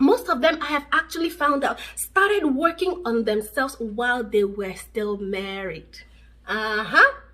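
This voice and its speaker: In a raised, projected voice, a woman speaks with a high pitch, a bright, sharp tone, an animated manner, very wide pitch swings and a fairly slow pace. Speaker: relationship vlogger. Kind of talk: advice vlog to camera.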